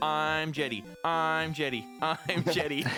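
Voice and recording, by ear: The speaker uses a put-on character voice at a fairly slow pace. Clear music plays in the background. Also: man, fairly high pitch for a man.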